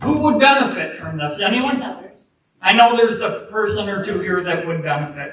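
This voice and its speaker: A man talks loudly at a high pitch with lively intonation. Room echo is audible. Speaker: public commenter. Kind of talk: public comment at township meeting. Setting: public meeting hall.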